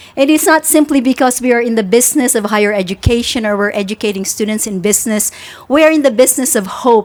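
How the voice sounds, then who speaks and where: A woman talks at a very fast pace in a high pitch, with noticeable background noise. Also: ordinary pitch variation. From Philippines and Singapore. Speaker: university president. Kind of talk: ceremony speech. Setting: outdoor tent at groundbreaking ceremony.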